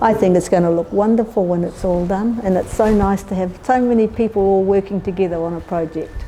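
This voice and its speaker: A woman's medium-pitched voice with a New Zealand accent, fairly quick and with hardly any pauses, fairly even intonation, music in the background. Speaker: community volunteer. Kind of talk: documentary interview.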